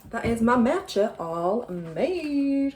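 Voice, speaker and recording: A woman talks in a Yorkshire accent with very wide pitch swings. Noticeable background noise is present. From Yorkshire, England. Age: 30s. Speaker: vlogger. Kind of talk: casual vlog chat. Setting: at home. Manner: chatty, filler-heavy.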